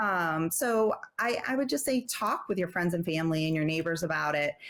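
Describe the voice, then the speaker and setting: A woman speaks at a moderate pace with lively intonation and a fairly low pitch. Her loudness stays very even in a very clean recording with a silent background. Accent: slight New Jersey. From New Jersey. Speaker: travel advisor. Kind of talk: casual interview chat.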